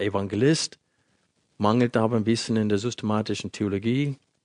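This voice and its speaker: Fairly low in pitch with fairly even intonation, this man has a plain, everyday voice. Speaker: Bible teacher. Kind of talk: sermon.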